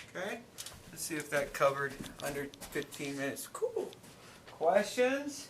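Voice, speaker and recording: Speaking at a moderate pace with long, frequent pauses, a man's voice swings widely in loudness amid audible room echo and noticeable background noise. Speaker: math teacher. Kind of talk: classroom lecture.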